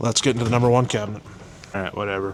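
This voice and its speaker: Over noticeable background noise, a man at a medium pitch talks with monotone, flat intonation. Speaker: mechanic showing his service truck. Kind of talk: walkaround truck tour video.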